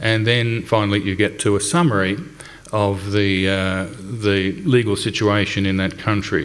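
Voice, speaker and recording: A fairly low-pitched man with an Australian accent, fairly slow and with fairly even intonation, in audible room echo. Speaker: company representative presenting a website. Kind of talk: conference presentation. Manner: hesitant, many fillers.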